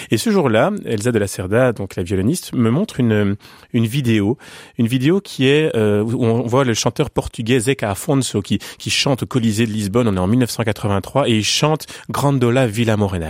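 A man is talking here at a medium pitch. The rise and fall of his voice is ordinary. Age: 40s. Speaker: pianist and music educator. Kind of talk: radio interview. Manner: halting, frequent repetitions.

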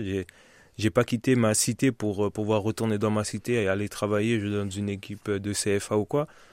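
In a very clean recording with a silent background, a man speaks at a fairly slow pace with monotone, flat intonation. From Paris region, France. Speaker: professional footballer. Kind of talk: radio interview. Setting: studio.

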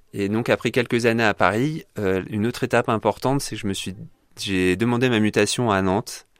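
The pace is fairly quick with ordinary pitch movement, and the recording is very clean and dry, close and echo-free against a silent background. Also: man. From France, Limousin and Orléans. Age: 30s. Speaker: former engineer sharing his faith journey. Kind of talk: radio interview testimony. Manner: hesitant, frequent fillers.

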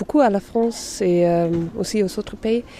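Speaking at a very slow pace, a woman has a medium pitch and ordinary pitch variation. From Germany. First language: German (speaking French). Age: 20s. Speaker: young European. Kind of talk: testimony. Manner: halting.

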